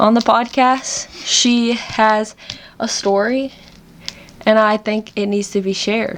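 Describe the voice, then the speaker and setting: The speech comes very slowly in a Southern US accent, with long, frequent pauses. Intonation stays monotone and flat. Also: woman, fairly high pitch for a woman. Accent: Southern US country twang. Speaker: podcast host. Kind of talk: casual podcast conversation.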